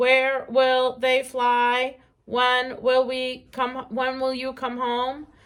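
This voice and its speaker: A woman's put-on character voice, high in pitch, monotone and flat, at a very slow pace. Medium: read story.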